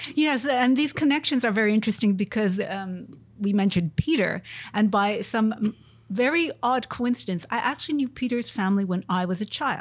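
The speech moves at a fairly quick pace, somewhat breathy, with lively intonation. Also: woman, fairly high pitch for a woman. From Montreal, Canada. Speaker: research group leader, engineer. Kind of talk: interview.

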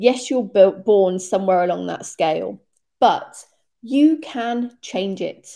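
A woman's dark, mellow, medium-pitched voice with a British accent, lively intonation and a fairly slow pace, on a very clean recording with a silent background. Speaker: health and fitness coach podcast host. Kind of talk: solo podcast monologue. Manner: casual, chatty.

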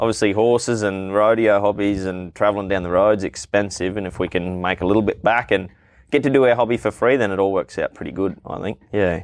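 A man with an Australian accent talks at a fairly quick pace in a fairly low pitch with fairly even intonation. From Queensland, Australia (Townsville). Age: 20s. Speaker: refrigeration tradesman and rodeo announcer. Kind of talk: casual interview chat. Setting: outdoors on a veranda.

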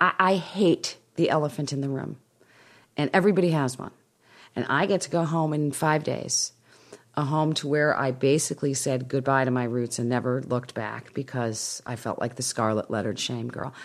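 A woman with a very deep, low pitch speaks at a moderate pace. Her pitch variation is ordinary. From US Midwest, Winnetka, Illinois. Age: 50s. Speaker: memoir author. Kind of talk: interview.

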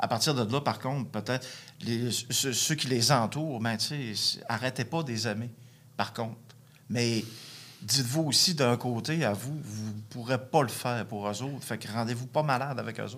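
Speaking at a moderate pace with long, frequent pauses, a man keeps a medium pitch and ordinary pitch variation. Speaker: recovering addict. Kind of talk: testimony. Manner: halting.

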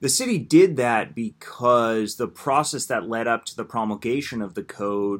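An unremarkable speaking voice with an American accent, on a very clean recording with a silent background. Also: man. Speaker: housing policy director, builders association. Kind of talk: casual interview.

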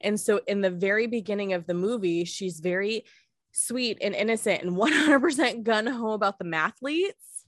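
A woman speaks in an ordinary speaking voice with a fairly high pitch. Her intonation is lively. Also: moderate pace. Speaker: podcast host. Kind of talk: casual chat.

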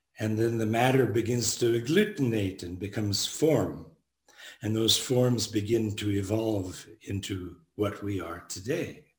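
A man with a fairly low pitch and ordinary pitch variation is heard with audible room echo. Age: 70s. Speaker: Buddhist monk and teacher. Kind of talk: dharma talk.

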